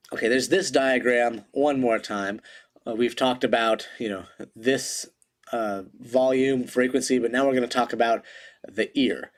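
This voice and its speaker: On a very clean recording with a silent background, a man with an unremarkable speaking voice talks at a moderate pace, medium pitch and fairly even intonation. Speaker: teacher. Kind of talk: lecture. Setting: home recording in living room.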